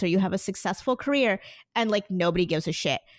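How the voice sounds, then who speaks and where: With a New Jersey accent, a woman speaks at a very fast pace with lively intonation on a very clean recording with a silent background. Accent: New Jersey American. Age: 20s. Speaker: podcaster. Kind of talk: casual chat.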